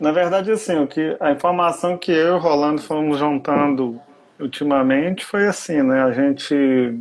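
Pitched fairly high, a man talks at a moderate pace with ordinary pitch variation and very even loudness. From Brazil, Brasília with youth in Belo Horizonte. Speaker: architect. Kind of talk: interview in a livestream. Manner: halting.

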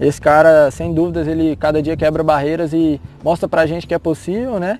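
This is a man speaking. He keeps a moderate pace. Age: 20s. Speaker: mountain bike racer. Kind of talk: interview.

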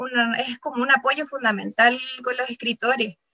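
A woman is speaking. Her voice is high in pitch. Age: 30s. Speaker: writer. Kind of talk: reading aloud.

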